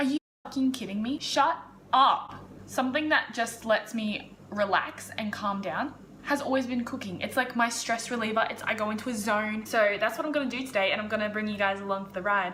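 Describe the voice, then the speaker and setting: Recorded with audible room echo and noticeable background noise, a woman with an Australian accent and fairly high pitch speaks at a fairly quick pace. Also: ordinary pitch variation. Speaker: lifestyle YouTuber. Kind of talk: casual vlog. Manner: loud.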